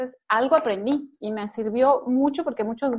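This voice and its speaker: A woman uses a normal speaking voice with ordinary pitch variation at a moderate pace. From Mexico. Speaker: nutrition doctor, former lecturer. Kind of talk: interview.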